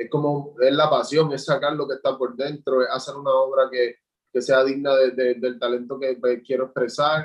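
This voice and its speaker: Delivering flat, monotone intonation, a man talks at a moderate speed with a medium pitch. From Puerto Rico, Juncos. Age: 20s. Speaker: visual artist. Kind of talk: interview. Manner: halting, repeats words.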